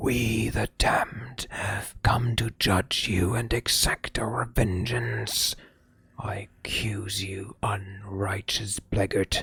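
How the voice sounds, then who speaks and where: In a put-on character voice, a man speaks at a very slow pace with a fairly low pitch. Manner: grim, solemn.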